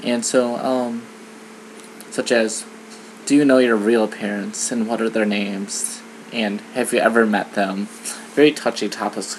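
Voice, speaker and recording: A man with an American accent and a fairly low pitch talks at a fairly slow pace against noticeable background noise. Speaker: vlogger. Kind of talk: personal vlog monologue. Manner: hesitant, many fillers.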